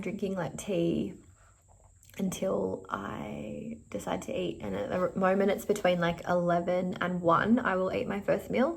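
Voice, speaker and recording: This speaker has an Australian accent and keeps a moderate pace. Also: woman. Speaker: vlogger. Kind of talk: casual vlog chat. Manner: erratic.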